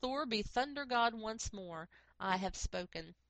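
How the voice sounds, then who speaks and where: Using a put-on character voice, a woman with a fairly high pitch speaks at a moderate pace. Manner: imperial, commanding.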